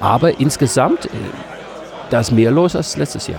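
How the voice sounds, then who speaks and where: A man speaks with a Dutch accent. Noticeable background noise is audible behind him. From Netherlands, Amsterdam. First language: Dutch (speaking German). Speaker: games vendor. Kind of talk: casual interview. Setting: convention stand.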